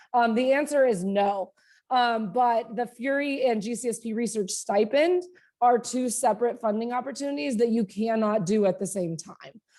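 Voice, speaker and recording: A woman's fairly high voice with a dark, mellow tone, ordinary pitch variation and a moderate pace. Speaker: university faculty director. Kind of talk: informational webinar presentation. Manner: many filler words (um, uh).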